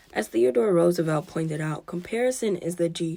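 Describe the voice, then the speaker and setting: This woman has a normal speaking voice, pitched fairly low. Her intonation is lively and her pace moderate. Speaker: school librarian and podcast host. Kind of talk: reading aloud from a book with asides.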